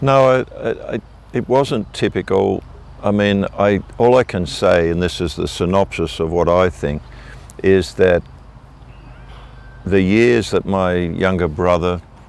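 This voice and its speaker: A man with an Australian accent and a very deep, low pitch speaks at a fairly slow pace. He uses ordinary pitch variation and leaves long, frequent pauses. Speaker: minister, revival evangelist. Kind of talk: interview answer.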